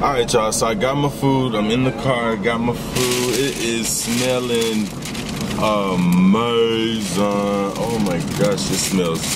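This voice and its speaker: A man's very slow speech with ordinary pitch variation, dry with no echo, over loud background noise. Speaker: food vlogger. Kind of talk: casual vlog chat. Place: car.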